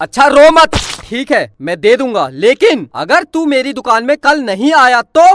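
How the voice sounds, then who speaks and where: This is a gruff, high-pitched put-on character voice. It moves at a moderate pace. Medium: cartoon. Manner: gruff, scolding.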